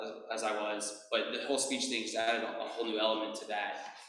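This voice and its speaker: A man with an American accent at a moderate pace, amid audible room echo and background music. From Texas, Houston. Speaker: toastmasters club member. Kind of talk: prepared speech. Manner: halting with blocks and repetitions.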